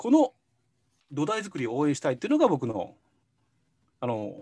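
A man with a fairly high voice talks over a quiet background, his pitch swinging very widely, his loudness rising and falling sharply, and his speech broken by long, frequent pauses. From Japan. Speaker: consultant. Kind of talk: interview answers. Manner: halting, filler-heavy. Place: home room. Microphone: video call.

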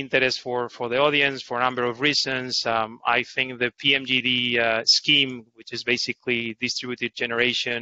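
A man at a moderate pace, in a dry sound with no echo. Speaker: panel moderator. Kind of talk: webinar panel introduction. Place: home room. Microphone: headset.

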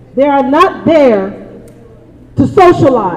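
An American accent at a moderate pace, with music in the background. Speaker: community activist. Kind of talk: public comment at town hall. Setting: community town hall meeting.

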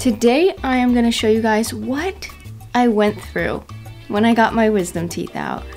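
A woman talks at a fairly slow pace with faint music in the background. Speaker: vlogger. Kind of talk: casual vlog chat. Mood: upbeat, playful. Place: home room. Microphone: phone near.

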